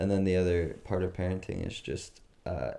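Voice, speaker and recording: A man talks at a moderate pace with vocal fry and a very deep, low pitch. His tone is dark and mellow. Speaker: podcast co-host. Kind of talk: casual chat.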